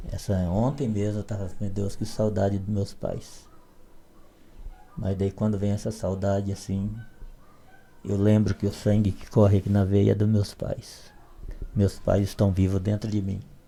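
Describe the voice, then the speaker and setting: Somewhat breathy and dark and mellow in tone, a man speaks at a fairly low pitch and fairly slow pace, with monotone, flat intonation and long, frequent pauses. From Brazilian Northeast, southern Ceará backcountry. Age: 60s. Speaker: literature PhD, evangelical. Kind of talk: podcast interview, life story.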